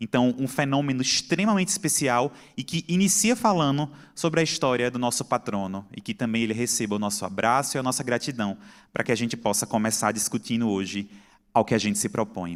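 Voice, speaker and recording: Lively intonation from a man, on a very clean recording with a silent background. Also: medium pitch for a man, fairly quick pace. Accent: Pernambuco. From Brazil, Pernambuco. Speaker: psychiatrist and lecturer. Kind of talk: conference talk. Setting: stage with audience.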